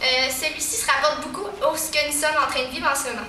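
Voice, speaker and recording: Amid noticeable background noise and audible room echo, a woman with a high pitch speaks in a raised, projected voice with ordinary pitch variation. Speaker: valedictorian student. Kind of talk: graduation speech. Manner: formal.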